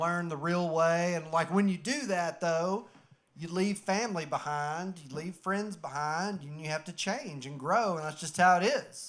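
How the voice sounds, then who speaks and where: Speaking at a moderate pace with hardly any pauses, a man with a Southern US accent uses a high pitch, ordinary pitch variation and big swings in loudness. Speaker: comedian. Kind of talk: stand-up. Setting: stage with audience.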